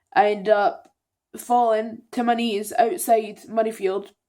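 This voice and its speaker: In a Scottish accent, a woman with a fairly high voice and ordinary pitch variation speaks in a tearful tone, on a very clean recording with a silent background. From Edinburgh, Scotland. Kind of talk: personal story told to camera. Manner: emotional, upset, tearful.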